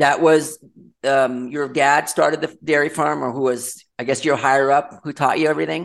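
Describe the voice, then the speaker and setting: With an American accent, a man speaks at a moderate pace in a fairly high pitch, his intonation fairly even. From Los Angeles, California. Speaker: podcast host. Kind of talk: interview. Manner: casual, some fillers.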